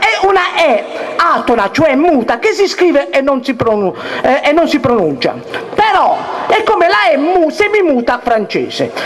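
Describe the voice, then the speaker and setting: At a moderate pace, a man speaks with an extremely high pitch and very wide pitch swings. Light background noise is present. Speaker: dialect teacher. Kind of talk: live lecture on dialect spelling to an audience. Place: stage. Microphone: handheld.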